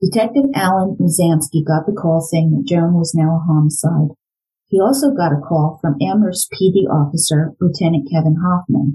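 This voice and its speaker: With an American accent, a woman talks at a moderate pace in a fairly low pitch, her somewhat breathy voice dark and mellow in tone, with ordinary pitch variation and very even loudness. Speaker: true crime podcast host and former psychology educator. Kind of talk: true-crime narration, reading aloud from the book in a serious storytelling mode. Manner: measured, grave and suspenseful.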